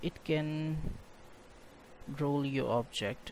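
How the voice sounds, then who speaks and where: A man with a non-native accent, fairly high in pitch, at a very slow pace. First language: not English. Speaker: game development tutorial creator. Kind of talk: software tutorial narration.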